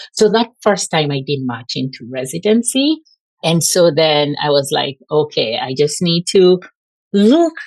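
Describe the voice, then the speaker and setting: Here a woman speaks with lively intonation. Her pitch sits fairly low. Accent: Kenyan. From Kenya. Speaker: pulmonary and critical care physician. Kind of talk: podcast interview. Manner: casual, filler-heavy ('like').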